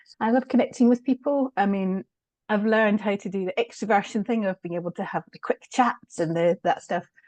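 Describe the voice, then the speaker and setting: A woman with a Scottish accent talks at a fairly quick pace in a medium pitch, with ordinary pitch variation. Her loudness swings widely, and the sound is dry and close with no echo. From Scotland. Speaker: change consultant. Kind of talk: podcast interview. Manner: soft-spoken.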